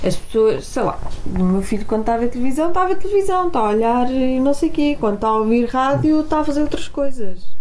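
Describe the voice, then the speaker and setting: Very fast speech from a woman with a high pitch, very wide pitch swings and very even loudness over noticeable background noise. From Portugal, Porto. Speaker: radio presenter. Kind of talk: casual chat.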